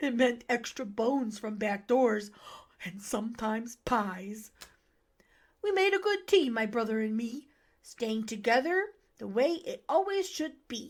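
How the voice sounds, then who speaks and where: A female-sounding, put-on character voice sits fairly high in pitch for a woman. The pace is fairly slow. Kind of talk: rhyming children's story reading. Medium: read story. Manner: warm, gentle.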